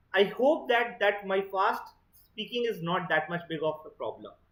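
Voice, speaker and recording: Someone with an Indian accent speaks at a moderate pace. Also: long, frequent pauses. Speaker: exam prep teacher. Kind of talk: online lecture.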